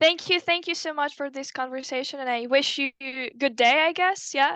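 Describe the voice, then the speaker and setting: A raised, projected voice with a bright, sharp tone moves at a moderate pace with ordinary pitch variation. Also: woman, high pitch for a woman. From Ukraine. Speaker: language student. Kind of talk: casual interview chat. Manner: halting.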